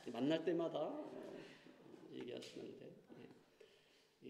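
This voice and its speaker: A man speaks with lively intonation and vocal fry, his tone dark and mellow, with audible room echo around him. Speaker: pastor. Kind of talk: church announcements; sermon. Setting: church. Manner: halting, many fillers.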